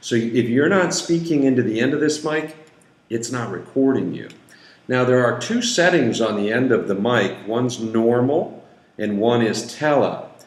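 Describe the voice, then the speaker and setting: Audible room echo follows a man of medium pitch who talks at a moderate pace with ordinary pitch variation. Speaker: company founder demonstrating equipment. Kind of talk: tutorial.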